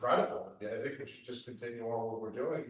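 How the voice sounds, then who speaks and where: A man speaks with audible room echo. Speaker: meeting participant. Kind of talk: public meeting discussion. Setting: town hall meeting room. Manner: loud.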